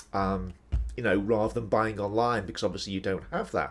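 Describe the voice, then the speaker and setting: A man speaks with vocal fry, at a fairly low pitch with ordinary pitch variation. The recording is very clean, with a silent background. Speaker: academic writing tutor. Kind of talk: educational podcast explanation. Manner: casual, conversational.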